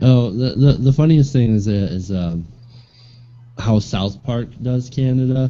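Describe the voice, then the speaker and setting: Pitch moves up and down in a typical way as a man talks. The tone is dark and mellow. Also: medium pitch for a man, fairly slow pace. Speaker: guest. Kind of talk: casual chat.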